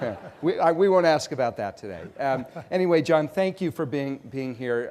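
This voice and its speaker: A man with an American accent speaks with lively intonation. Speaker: nonprofit CEO interviewing a guest. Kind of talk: on-stage interview. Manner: halting, many fillers.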